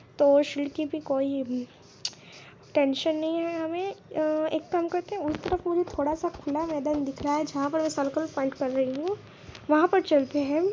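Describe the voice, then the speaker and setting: Her intonation stays fairly even and her pitch is high for a woman. Noticeable background noise is present. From Gujarat, India. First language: Gujarati (speaking Hindi). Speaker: gaming YouTuber. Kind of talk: gameplay commentary. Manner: hesitant, many fillers. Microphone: poor voice quality.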